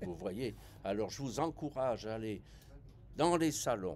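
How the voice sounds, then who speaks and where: A man speaks very slowly with lively intonation and vocal fry. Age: 70s. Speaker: veteran cruise passenger. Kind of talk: interview. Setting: travel fair.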